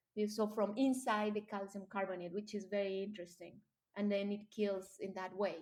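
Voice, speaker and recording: A woman at a medium pitch with a Colombian accent. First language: Spanish. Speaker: marine biologist. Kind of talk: interview. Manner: animated.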